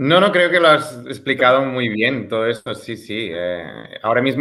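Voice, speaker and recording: With a Catalan accent, a man at medium pitch speaks at a fairly slow pace with lively intonation. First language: Catalan (speaking Spanish). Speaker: music teacher and researcher. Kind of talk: interview. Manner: halting, with fillers.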